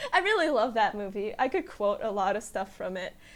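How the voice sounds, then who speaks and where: A woman talks at a moderate pace with a Russian accent. The recording is very clean, with a silent background. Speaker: podcaster. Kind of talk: casual solo podcast chat.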